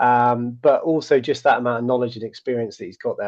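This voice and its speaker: Someone with a British accent talks at a very fast pace. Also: man. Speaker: people manager, conversation host. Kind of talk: live online conversation. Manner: casual, filler-heavy.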